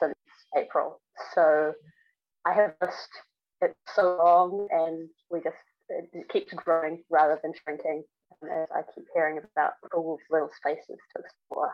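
A woman with a New Zealand accent, fairly low pitch, fairly even intonation, a fairly slow pace and long, frequent pauses. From New Zealand, Auckland. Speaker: long-distance hiker and gear maker. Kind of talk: casual interview. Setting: remote call.

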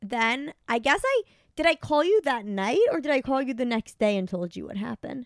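Her New York accent comes through in a dry, close sound with no echo. The woman speaks at a moderate pace and high pitch, with very wide pitch swings. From US Northeast, New York. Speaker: comedian. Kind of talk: casual chat.

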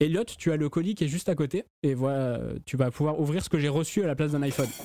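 A man with a southern French accent talks at a very fast pace in a fairly high voice with a dark, mellow tone. The recording is very clean, with a silent background. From southern France. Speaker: podcast host. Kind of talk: casual chat.

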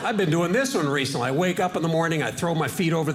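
A man with an American accent talks at a very fast pace. Audible room echo and noticeable background noise fill the recording. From Washington State, US. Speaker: stand-up comedian. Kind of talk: stand-up.

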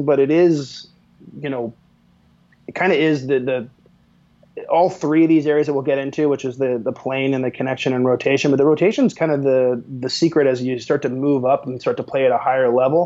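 With an American accent, the speaker uses a normal speaking voice at a fairly quick pace and with fairly even intonation. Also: man. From Pennsylvania, US. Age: 40s. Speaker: sports tech company manager. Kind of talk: casual interview.

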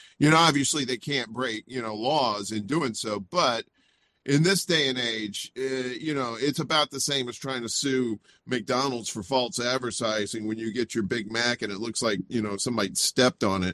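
At a moderate pace, a man with an American accent speaks at medium pitch with ordinary variation and a bright, sharp tone. The sound is dry and close, with no echo. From US South, Mississippi. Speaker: indie media personality. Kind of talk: casual interview chat.

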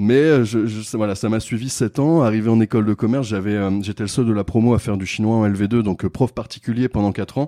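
Fairly low-pitched male voice, dark and mellow in tone, with fairly even intonation and a fairly quick pace over a quiet background. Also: dry, close sound with no echo. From Réunion island. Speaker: entrepreneur, company co-founder. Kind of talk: casual interview. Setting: business accelerator in Bordeaux. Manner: hesitant with frequent fillers.

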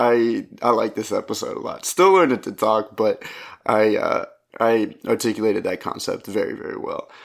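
A man at a moderate pace, in a very clean recording with a silent background. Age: 20s. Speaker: podcast host and stand-up comedian. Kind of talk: casual solo monologue. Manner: rambling, halting.

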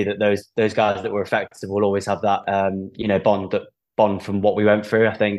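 Against a quiet background, a man talks at a moderate pace. His pitch is fairly low. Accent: English. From England. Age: 20s. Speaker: professional rugby player. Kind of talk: casual interview chat.

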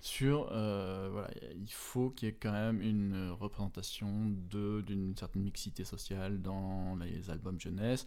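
A man's dark, mellow voice, fairly low in pitch, very slow, with fairly even intonation and hardly any pauses. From France, moved often, roots in Brittany. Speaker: children's book author and illustrator. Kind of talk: interview. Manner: halting, many fillers.

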